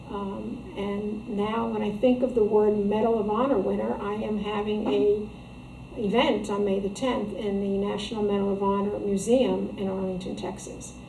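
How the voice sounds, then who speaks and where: A woman with an American accent speaks at medium pitch and a moderate pace, with fairly even intonation, amid audible room echo and noticeable background noise. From New Jersey. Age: 60s. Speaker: author. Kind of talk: interview. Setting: shop. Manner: halting.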